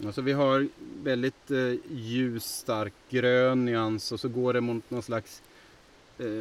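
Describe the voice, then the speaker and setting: A man speaks in a medium pitch at a fairly slow pace. His intonation is monotone and flat. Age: 40s. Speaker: nature podcast host. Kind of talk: casual chat. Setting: outdoors in forest.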